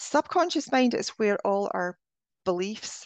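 In a Scottish accent, a woman speaks against a quiet background, the sound dry and close with no echo. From Scotland. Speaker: spiritual healing coach. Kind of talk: interview.

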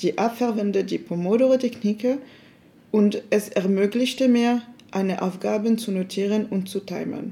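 Here is a woman with an unremarkable speaking voice, at medium pitch. She speaks at a moderate pace with fairly even intonation. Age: 20s. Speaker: university student.

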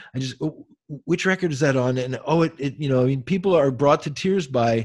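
Over a silent background on a very clean recording, a man with a plain, everyday voice speaks fairly quickly at a fairly high pitch, his pitch varying in an ordinary way. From Pennsylvania, US. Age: 50s. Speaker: jazz saxophonist and professor. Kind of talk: casual chat.

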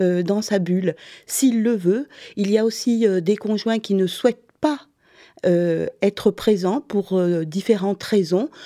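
The tone is dark and mellow, and the delivery is very slow. It's a very clean recording with a silent background and a dry, close sound with no echo. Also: woman. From southern France, Montpellier. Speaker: doula and former teacher. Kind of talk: interview.

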